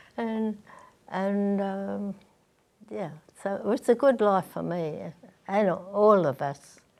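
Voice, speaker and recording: A woman with an Australian accent speaks at a very slow pace. Her pitch is medium, and she leaves long, frequent pauses. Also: ordinary pitch variation. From Sydney, Australia (Granville). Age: 80s+. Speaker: elderly interviewee recalling her life. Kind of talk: interview. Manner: halting.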